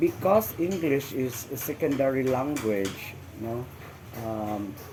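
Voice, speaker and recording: A man with a Visayan Filipino accent speaks at medium pitch and a very slow pace, his intonation lively. Noticeable background noise sits behind him. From Philippines, Misamis Occidental. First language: Bisaya (Cebuano). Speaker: interviewee. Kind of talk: interview. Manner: halting, many fillers; formal.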